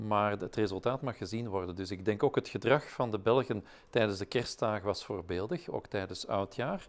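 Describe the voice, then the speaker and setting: The speech moves at a moderate pace with ordinary pitch variation and hardly any pauses. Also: man, fairly low pitch for a man. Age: 60s. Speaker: professor, vaccine expert; professor. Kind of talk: interview. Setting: webinar. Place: studio. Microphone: lapel.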